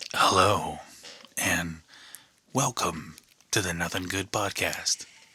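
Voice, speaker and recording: Putting on a character voice, a man talks at a fairly slow pace in a raspy, very deep, low pitch with ordinary pitch variation. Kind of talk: announcer-like. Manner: exaggerated, polished host voice.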